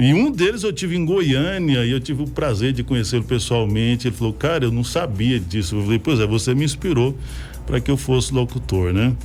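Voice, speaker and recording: A man's medium-pitched voice at a fairly quick pace, with lively intonation, very even loudness and music in the background. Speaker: radio host. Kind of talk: casual chat.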